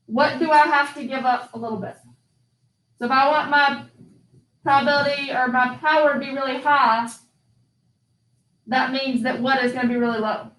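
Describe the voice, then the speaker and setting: Amid audible room echo, a woman talks at a moderate pace with a high pitch, monotone, flat intonation and long, frequent pauses. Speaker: statistics teacher. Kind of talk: classroom lecture.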